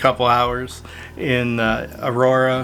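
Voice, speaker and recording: Amid noticeable background noise and audible room echo, a man with a medium-pitched voice speaks at a very slow pace. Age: 60s. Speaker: photographer and video creator. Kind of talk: casual vlog talk to camera. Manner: casual with many fillers.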